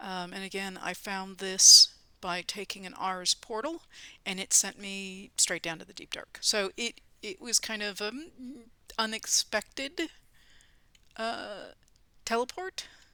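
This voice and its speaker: In a dry, close sound with no echo, a woman speaks in a bright, sharp tone, with big swings in loudness and long, frequent pauses. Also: medium pitch for a woman, ordinary pitch variation, fairly slow pace, very clean recording, silent background. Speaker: gaming YouTuber. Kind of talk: let's play commentary. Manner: hesitant, many fillers; whispering at times.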